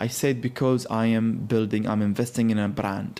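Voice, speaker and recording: The man speaks with an Arabic accent. His tone is dark and mellow. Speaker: culture consultant. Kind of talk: interview.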